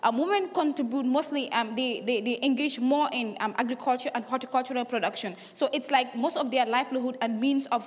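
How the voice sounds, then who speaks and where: A woman talks at a fairly quick pace with hardly any pauses, her pitch high with ordinary variation. Noticeable background noise is present. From Gambia. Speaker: youth climate activist. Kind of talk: conference speech. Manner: halting, many fillers; fast.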